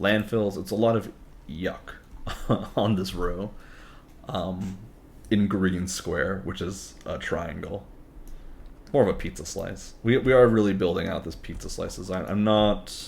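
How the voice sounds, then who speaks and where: Pausing long and often, a man speaks at a fairly slow pace in a fairly low pitch. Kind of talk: casual gaming commentary.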